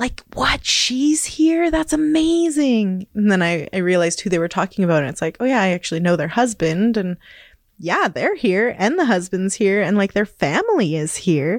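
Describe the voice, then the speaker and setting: A woman talks at a moderate pace in a western Canadian accent, her voice sitting at a medium pitch. Her pitch swings very widely against a quiet background. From northern British Columbia, Canada (Kispiox Valley, Hazelton). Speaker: community radio worker. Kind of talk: casual interview.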